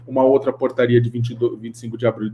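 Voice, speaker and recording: Somewhat breathy, a man speaks at a medium pitch. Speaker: panelist on anti-slavery finance. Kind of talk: webinar talk. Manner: fast.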